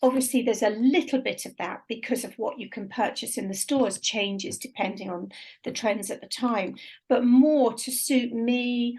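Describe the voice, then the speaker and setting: A woman speaks in a high voice at a moderate pace. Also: ordinary pitch variation, big swings in loudness. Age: 60s. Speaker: radio presenter. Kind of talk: casual chat.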